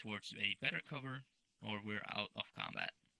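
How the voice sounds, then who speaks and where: A loud man's voice with a bright, sharp tone, fairly even intonation, moderate pace, and dry, close sound with no echo. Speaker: military sim game instructor. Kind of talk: tutorial.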